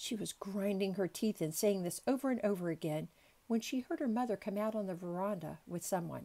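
Someone does plain reading aloud. Their pitch moves in an ordinary way.

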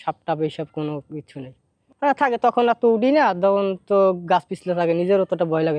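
A high-pitched male voice with ordinary pitch variation. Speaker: coconut tree climber and cleaner. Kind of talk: interview answers.

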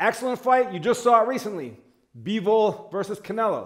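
The background is quiet as a man speaks at a fairly quick pace. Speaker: boxing coach. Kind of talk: tutorial. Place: gym. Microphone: camera far.

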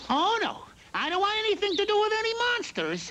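Put-on character voice at an extremely high pitch and a fairly quick pace, over light background noise. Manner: timid, meek.

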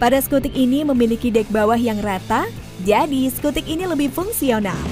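Over music in the background, a woman with a high pitch talks at a moderate pace with ordinary pitch variation, the sound dry with no echo. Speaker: automotive channel narrator. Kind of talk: product review narration.

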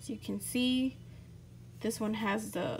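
A woman talks with a somewhat breathy voice. There is light background noise. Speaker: product demonstrator. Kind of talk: product demo. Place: shop.

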